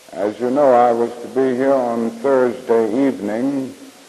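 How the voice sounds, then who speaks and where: With an American accent, a man speaks at a fairly slow pace over noticeable background noise. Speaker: civil rights leader and Baptist minister. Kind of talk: public speech at a church conference. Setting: live podium speech, 1965 recording.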